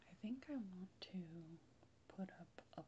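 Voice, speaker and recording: Someone soft-spoken talks at a very slow pace over light background noise. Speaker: relaxation video creator. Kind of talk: soft-spoken relaxation talk. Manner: soft, hushed ASMR speaking voice.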